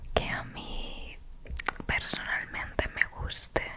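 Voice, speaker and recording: A woman whispers, soft-spoken, at a very slow pace. Noticeable background noise sits behind her. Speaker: ASMR creator. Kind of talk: soft ASMR chat to viewer. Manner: soft close-mic ASMR whisper. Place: home room. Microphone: studio mic.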